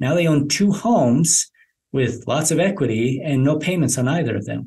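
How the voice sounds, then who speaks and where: A somewhat breathy male voice at a moderate pace, with ordinary pitch variation. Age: 50s. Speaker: reverse mortgage specialist. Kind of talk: podcast interview. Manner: halting, many repetitions.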